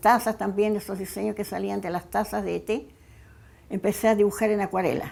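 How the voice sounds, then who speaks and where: Using a dark, mellow tone with vocal fry, a woman talks at a medium pitch and a moderate pace. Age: 80s+. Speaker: craftswoman. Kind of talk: interview testimony. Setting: at home. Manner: halting, with repetitions.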